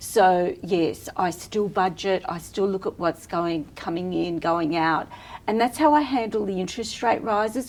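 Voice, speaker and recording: Against noticeable background noise, a woman with an Australian accent speaks at a moderate pace with lively intonation. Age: 60s. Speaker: entrepreneur and personal stylist. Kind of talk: podcast interview.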